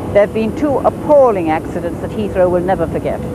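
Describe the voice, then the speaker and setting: A woman is heard in a dry sound with no echo. Loud background noise runs underneath. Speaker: TV presenter. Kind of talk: piece to camera. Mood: wry, then grave. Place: street.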